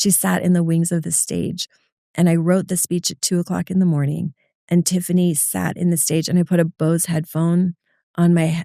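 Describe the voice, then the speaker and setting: The tone is dark and mellow, with monotone, flat intonation. The sound is dry and close, with no echo. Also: woman. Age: 50s. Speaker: nonprofit CEO. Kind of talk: interview. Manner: fast.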